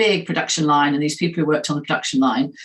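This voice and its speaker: A woman with a Southern English accent. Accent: English accent, more southern. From England, Nottingham. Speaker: hiring expert. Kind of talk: interview.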